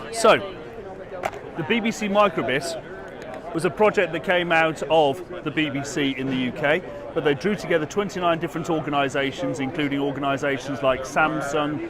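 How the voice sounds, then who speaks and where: A man with a British accent speaks at a moderate pace in a fairly high pitch with ordinary pitch variation, over noticeable background noise and audible room echo. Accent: British accent, noticeable to US audience. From UK. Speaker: education executive. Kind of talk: product demo. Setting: trade expo floor.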